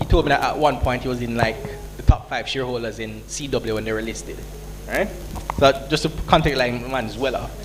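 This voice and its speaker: A man with a Jamaican accent talks at a fairly quick pace with big swings in loudness, amid noticeable background noise and audible room echo. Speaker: entrepreneur, business founder. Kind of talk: conference panel Q&A. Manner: casual, conversational.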